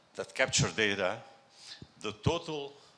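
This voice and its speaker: Here a man speaks with a French accent. His tone is bright and sharp. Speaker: tech executive, conference speaker. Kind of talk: conference talk. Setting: stage with audience. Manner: halting.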